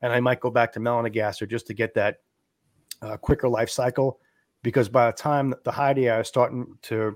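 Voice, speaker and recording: In a very clean recording with a silent background and a dry, close sound with no echo, a man of medium pitch uses an ordinary speaking voice at a fairly quick pace with fairly even intonation. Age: 40s. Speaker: amphibian podcast host and frog keeper. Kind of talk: casual interview.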